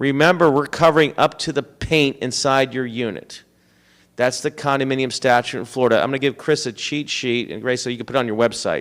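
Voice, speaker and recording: This man speaks at a fairly quick pace with fairly even intonation and medium pitch. The recording is very clean, with a silent background. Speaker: insurance agent. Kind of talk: town hall presentation. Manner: fast.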